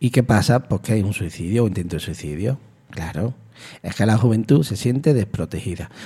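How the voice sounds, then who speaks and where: Over a silent background in a very clean recording, a man speaks at a fairly quick pace in a fairly low, dark, mellow voice that is somewhat breathy and has lively intonation. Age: 50s. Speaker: community radio host. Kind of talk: radio monologue. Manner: animated.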